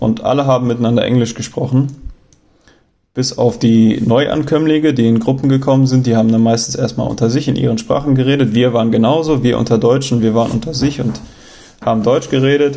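Using a dark, mellow tone, a man talks at a fairly quick pace with fairly even intonation and very even loudness. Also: medium pitch for a man. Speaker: travel podcaster. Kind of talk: casual storytelling monologue. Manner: hesitant, many fillers.

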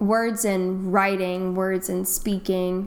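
This woman has a normal speaking voice with an American accent. Her pitch varies in an ordinary way. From North Carolina. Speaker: English teacher. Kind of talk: casual chat.

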